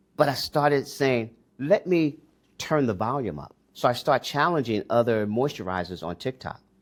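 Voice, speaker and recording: A man with an American accent uses a normal speaking voice at a medium pitch, talking at a moderate pace with lively intonation on a very clean recording with a silent background. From US Northeast, Newark, New Jersey. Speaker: entrepreneur. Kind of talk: interview.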